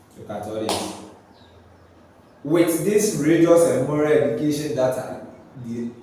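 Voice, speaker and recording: Moderately paced speech full of lively intonation, plus audible echo from the room. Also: man. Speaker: commentary video host. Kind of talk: social commentary monologue.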